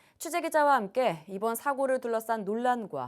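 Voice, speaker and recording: A woman speaks at a moderate pace with very wide swings in pitch, recorded very cleanly against a silent background. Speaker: news anchor. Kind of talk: TV news studio anchor reading. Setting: studio.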